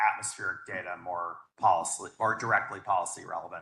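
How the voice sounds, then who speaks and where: The speaker is a man. He talks at a moderate pace. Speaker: scientist on panel. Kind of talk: panel discussion. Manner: loud.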